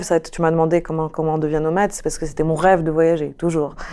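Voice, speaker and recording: Here is a woman with a fairly low pitch. Her tone is dark and mellow. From Morocco. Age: 30s. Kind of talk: interview. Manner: hesitant, many fillers.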